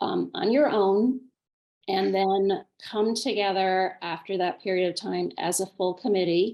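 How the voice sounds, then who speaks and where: Here a woman uses a normal speaking voice. Her intonation stays fairly even. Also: medium pitch for a woman, fairly slow pace. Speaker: nonprofit grants committee chair. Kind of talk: training workshop presentation.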